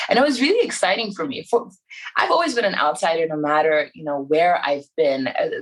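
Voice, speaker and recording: A woman with an American accent, fairly low in pitch, with lively intonation. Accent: Americanized. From Iran, raised abroad as third culture kid. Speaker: musician. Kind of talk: podcast interview.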